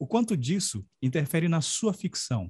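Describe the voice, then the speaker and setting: Fairly slow, somewhat breathy speech from a man, fairly high in pitch, with very wide pitch swings. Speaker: podcast host and writing mentor. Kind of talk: interview.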